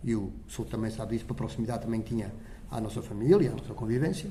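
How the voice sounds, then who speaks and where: Here a man speaks very fast in a dark, mellow tone with vocal fry. Room echo can be heard. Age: 70s. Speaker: parish council president. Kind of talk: interview.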